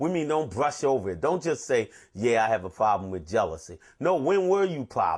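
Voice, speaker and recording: A man speaks at a fairly quick pace with vocal fry and very wide pitch swings. The background is quiet. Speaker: addiction recovery counselor. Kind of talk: recovery talk on the twelve steps. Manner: fast.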